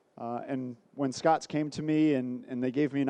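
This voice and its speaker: The voice has a dark, mellow tone and an American accent, delivered with monotone, flat intonation. The background is quiet. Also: man, dry, close sound with no echo. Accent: American accent, noticeable. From United States. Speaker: sales director presenting a trade seminar. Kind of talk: business presentation.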